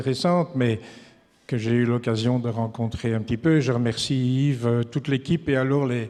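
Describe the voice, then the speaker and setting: A man's medium-pitched voice, dark and mellow in tone, with fairly even intonation and a fairly slow pace. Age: 70s. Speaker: social tourism association treasurer. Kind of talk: farewell speech at conference. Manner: hesitant, many filler sounds.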